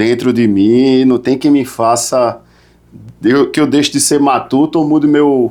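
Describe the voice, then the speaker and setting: A man with a strong northeastern Brazilian accent, medium in pitch and dark, mellow in tone, at a fairly slow pace with fairly even intonation and very even loudness. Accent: northeastern Brazilian, kept strong. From Recife, Brazil. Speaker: podcast host, lawyer. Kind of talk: casual interview chat.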